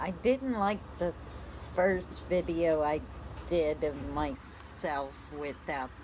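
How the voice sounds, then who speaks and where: Over noticeable background noise and audible room echo, a woman speaks very slowly with ordinary pitch variation. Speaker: RV vlogger. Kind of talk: personal vlog talk. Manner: hesitant, with fillers.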